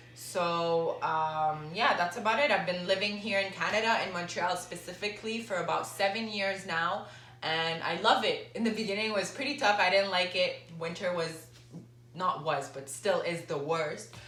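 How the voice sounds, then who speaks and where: Speaking at a moderate pace, a woman with a medium pitch and ordinary pitch variation is heard over noticeable background noise and audible room echo. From Lebanon and Dubai. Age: 20s. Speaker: fitness trainer and vlogger. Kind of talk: casual Q&A vlog. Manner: casual, with fillers.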